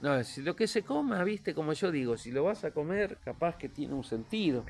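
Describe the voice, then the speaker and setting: A man's normal speaking voice, fairly high in pitch, at a moderate pace with lively intonation. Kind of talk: casual interview conversation.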